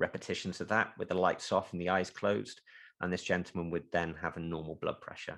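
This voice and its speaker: Talking at a fairly quick pace, a man with a very deep, low pitch keeps his intonation fairly even. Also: very clean recording, silent background. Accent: British. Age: 30s. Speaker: physician's associate, ex-marine. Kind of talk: casual interview.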